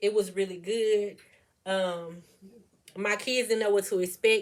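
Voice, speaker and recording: This woman has an ordinary speaking voice at a medium pitch. Her intonation is fairly even and her pace fairly slow. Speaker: homeschooling mother and vlogger. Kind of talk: casual vlog talk with her children.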